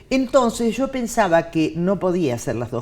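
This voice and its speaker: A woman talks against noticeable background noise. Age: 60s. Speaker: TV and radio announcer. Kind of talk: casual chat.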